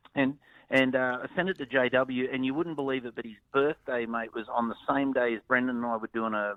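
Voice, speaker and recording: The speaker has a strong Australian accent and a fairly quick pace. Intonation stays fairly even. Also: man. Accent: broad Australian. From north Queensland, Australia. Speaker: country musician and producer. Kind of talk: interview. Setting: phone call.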